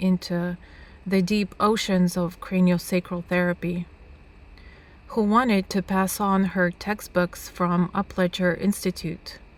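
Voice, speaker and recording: Fairly slow speech with monotone, flat intonation. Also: woman. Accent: Russian. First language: Russian. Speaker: author, nomad. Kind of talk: reading aloud.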